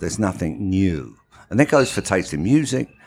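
With a London accent, a man talks using very wide pitch swings. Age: 70s. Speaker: fashion veteran and musician. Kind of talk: casual interview chat. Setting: coffee shop.

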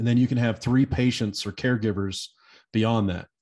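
With a normal speaking voice, the speaker moves at a fairly quick pace with ordinary pitch variation against a quiet background. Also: man. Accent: American. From Nebraska. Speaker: hemp industry advocate. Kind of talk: casual chat.

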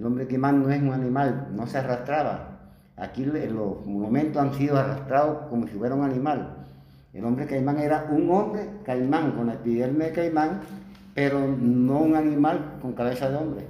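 Speaking at a moderate pace with fairly high pitch and ordinary pitch variation, a man is heard over noticeable background noise and audible room echo. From Colombian Caribbean coast, Plato, Magdalena. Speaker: cultural performer of a local legend. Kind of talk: interview.

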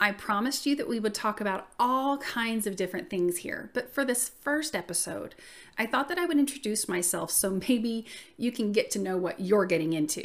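A woman with an American accent speaks with a fairly high voice, lively intonation and a warm, upbeat tone. The recording is very clean, with a silent background. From US South. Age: 40s. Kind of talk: casual solo podcast intro. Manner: warm, friendly, upbeat.

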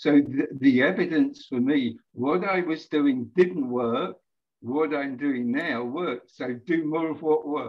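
Using ordinary pitch variation, a man with a fairly high pitch speaks at a very slow pace. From UK. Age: 70s. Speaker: life coach. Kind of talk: casual interview. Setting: remote call from Mexico.

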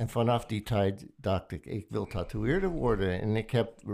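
A man with a fairly low pitch speaks at a very slow pace with vocal fry. The recording is very clean, with a silent background. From United States. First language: English (speaking Dutch). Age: 70s. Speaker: veteran tattoo artist. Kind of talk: casual chat. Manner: halting.

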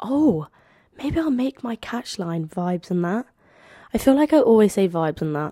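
An animated tone in a slight London accent, with very wide pitch swings, in a very clean recording with a silent background. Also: woman, dry, close sound with no echo. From London, England. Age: 20s. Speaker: podcaster and university student. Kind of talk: casual solo podcast monologue. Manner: chatty, rambling, animated.

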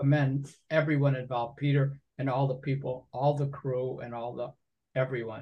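Somewhat breathy, monotone speech at a moderate pace, in an American accent. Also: man, medium pitch for a man. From Binghamton, New York. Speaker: poet and lyricist. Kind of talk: casual interview.

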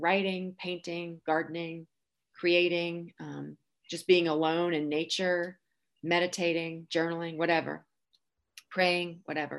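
An ordinary speaking voice from a woman, fairly low in pitch, at a moderate pace. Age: 40s. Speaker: teacher, blogger and podcaster. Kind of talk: interview.

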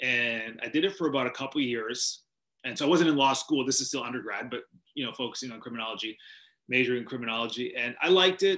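With a western Canadian accent and a bright, sharp tone, a man of medium pitch speaks at a very fast pace with ordinary pitch variation. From Canada, Vancouver, British Columbia. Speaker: sports TV anchor. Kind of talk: interview.

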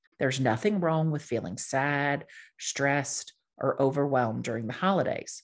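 This woman speaks at a moderate pace in a very deep, low voice against a quiet background. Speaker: life coach and podcast host. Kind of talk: motivational podcast monologue.

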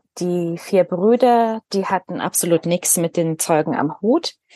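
A woman with a fairly low pitch and a dark, mellow tone speaks with ordinary pitch variation in a dry, close sound with no echo. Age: 30s. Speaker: former Jehovah's Witness sharing her story. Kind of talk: interview testimony.

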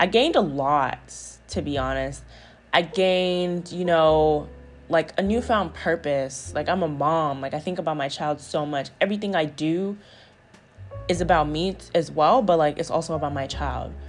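A woman's very deep, low pitch with ordinary pitch variation at a moderate pace, with music in the background. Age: 20s. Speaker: podcast host, single mom. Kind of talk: casual solo monologue. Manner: conversational, relaxed.

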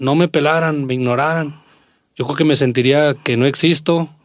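The recording is very clean, with a silent background. A man with a normal speaking voice, fairly high in pitch, talks at a moderate pace with ordinary pitch variation. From Mexico, Aguascalientes (Jesús María). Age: 40s. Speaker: singer and accordionist. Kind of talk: casual chat.

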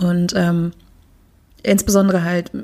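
With a medium pitch, a woman speaks in a dark, mellow tone that is somewhat breathy. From Germany. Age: 30s. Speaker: poetry slammer and queer network worker. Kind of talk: casual chat.

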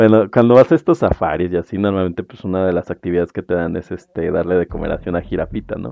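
The speech is very fast, with hardly any pauses, in a Mexican accent. The pitch varies in an ordinary way. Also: man, very deep, low pitch for a man. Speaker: podcast host. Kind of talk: casual chat.

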